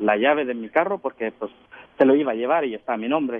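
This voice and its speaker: A man at a fairly quick pace, in an unremarkable speaking voice of medium pitch. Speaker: caller. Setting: phone call.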